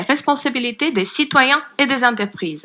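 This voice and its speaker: In a Ukrainian accent, a woman speaks at a high pitch with lively intonation. Noticeable background noise runs underneath. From Ukraine. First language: Ukrainian (speaking French). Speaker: citizens' panel member. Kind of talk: formal presentation. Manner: hesitant, with fillers.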